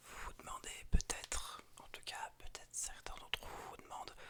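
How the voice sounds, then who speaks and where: Someone is whispering. The pace is fairly slow. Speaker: ASMR and gaming YouTuber. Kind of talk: ASMR whispering. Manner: soothing.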